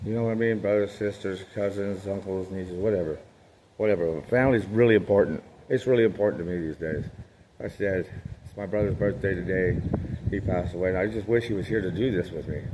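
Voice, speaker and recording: This man's speech races along very quickly. His voice sits fairly low. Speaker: motivational vlogger. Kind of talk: motivational monologue. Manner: loud; animated.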